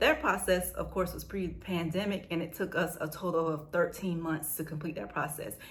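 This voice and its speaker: A woman's fairly low voice with vocal fry and fairly even intonation, hardly any pauses, and audible room echo. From United States. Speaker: vlogger sharing family immigration experience. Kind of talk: casual storytime vlog. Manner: fast; chatty.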